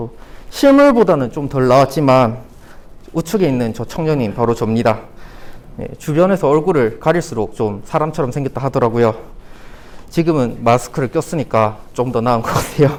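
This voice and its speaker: A man's medium-pitched voice, with ordinary pitch variation, breaks into long, frequent pauses. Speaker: conference speaker, beginner app developer. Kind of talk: conference talk. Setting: stage with audience. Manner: fast.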